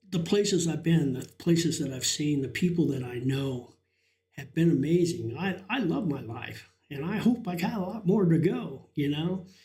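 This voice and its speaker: A man's high-pitched voice with lively intonation at a moderate pace, with audible room echo. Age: 60s. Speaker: live streamer. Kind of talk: casual chat. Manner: halting.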